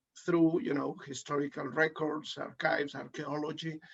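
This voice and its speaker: A man speaks at a moderate pace and a fairly high pitch. His intonation stays monotone and flat. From Venezuela, then Basque Country. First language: Basque and Spanish. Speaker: professor.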